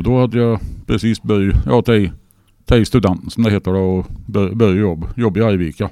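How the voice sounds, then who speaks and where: The man talks at a fairly quick pace, his pitch fairly low with ordinary variation. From Sweden, northern Värmland (Torsby). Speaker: car and rock enthusiast, radio presenter. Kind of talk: casual interview. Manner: halting.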